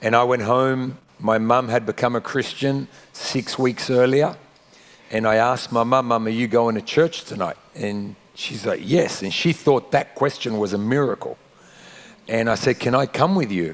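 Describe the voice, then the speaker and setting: Music plays in the background. A man with a medium pitch speaks at a moderate pace. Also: ordinary pitch variation. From Australia (Sydney), Argentine family. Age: 40s. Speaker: pastor. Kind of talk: interview testimony.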